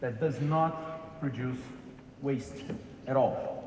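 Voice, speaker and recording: Fairly high male voice amid audible room echo and noticeable background noise. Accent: Brazilian. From Brazil. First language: Portuguese. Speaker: corporate executive. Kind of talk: keynote lecture. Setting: stage with large audience. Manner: halting with fillers.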